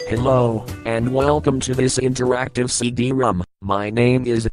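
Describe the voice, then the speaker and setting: Over faint music in the background, a man puts on a character voice at a medium pitch and a moderate pace. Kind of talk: software tutorial voice. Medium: comedy sketch. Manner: stilted, mechanical.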